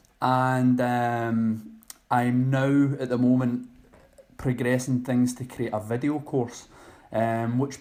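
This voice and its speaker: Here is a man of medium pitch with a Scottish accent. His intonation stays fairly even. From Scotland, Loch Lomond. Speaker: online personal trainer. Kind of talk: podcast interview.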